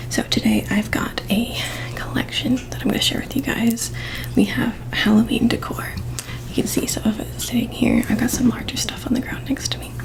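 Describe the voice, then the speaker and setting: A woman whispers at a fairly quick pace. There is noticeable background noise. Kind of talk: ASMR show and tell, casual talk to camera. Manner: whispered, soft-spoken.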